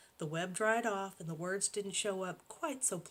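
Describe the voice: Plain reading aloud with ordinary pitch variation fills the clip.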